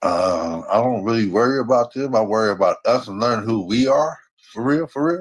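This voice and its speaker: A man of medium pitch talks at a moderate pace with lively intonation. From San Francisco, California. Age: 60s. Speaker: caller. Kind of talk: casual chat.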